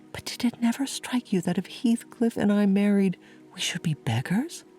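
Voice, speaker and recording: Over music in the background, a woman speaks fairly slowly at medium pitch, with lively intonation and a calm, soothing tone. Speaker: sleep hypnotherapist and podcast host. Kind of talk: sleep story reading of a classic novel. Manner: calm, slow, soothing.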